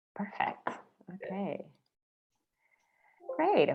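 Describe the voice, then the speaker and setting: A woman talks with a strong Argentine accent. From Argentina. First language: Spanish. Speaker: marketing automation consultant. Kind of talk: webinar presentation. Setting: video call.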